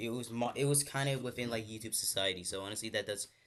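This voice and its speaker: Over a quiet background, a man talks very fast at a medium pitch. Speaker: streamer drawing live. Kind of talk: casual live stream chat. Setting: live stream. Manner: halting, repeats words.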